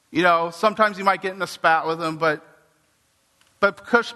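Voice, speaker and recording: An animated man with an American accent speaks at a fairly quick pace. His pitch is high, with ordinary variation. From US West Coast, Santa Cruz, California. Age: 40s. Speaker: pastor. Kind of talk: sermon. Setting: church with congregation.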